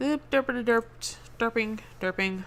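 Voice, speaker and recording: A woman mumbles in a put-on character voice at a fairly slow pace. Her pitch is fairly high, with ordinary pitch variation. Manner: mumbling; silly, nonsense sounds.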